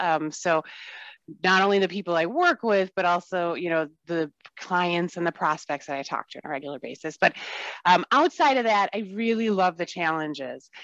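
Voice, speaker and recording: A woman with an American accent speaks at a moderate pace and a fairly low pitch, with ordinary pitch variation, in a dry, close sound with no echo and a quiet background. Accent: Wisconsin accent, at times. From Wisconsin. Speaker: software sales relationship manager. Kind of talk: casual interview. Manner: upbeat, smiling.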